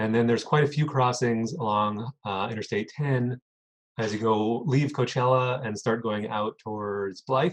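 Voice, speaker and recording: This man has an unremarkable speaking voice at a medium pitch, with an American accent. He keeps a moderate pace and ordinary pitch variation. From California desert. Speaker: biologist at a conservation nonprofit. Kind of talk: webinar Q&A.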